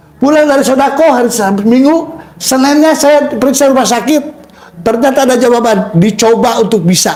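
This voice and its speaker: This man talks at a fairly quick pace in an extremely high voice, with very even loudness and ordinary pitch variation. His tone is animated, and there is noticeable background noise and audible room echo. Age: 60s. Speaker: testimony giver at a charity prayer house. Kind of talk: testimony.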